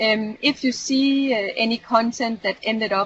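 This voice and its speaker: A woman's somewhat breathy, fairly high voice moves at a fairly slow pace with ordinary pitch variation. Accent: non-native. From Europe. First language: not English. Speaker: community manager / trainer. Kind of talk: online training session. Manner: hesitant, many fillers.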